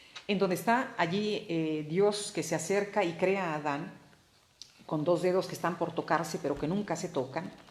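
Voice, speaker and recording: Audible room echo around a woman speaking at a moderate pace. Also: fairly low pitch for a woman, ordinary pitch variation. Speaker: art history speaker. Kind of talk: informal lecture. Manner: halting, many repeated words.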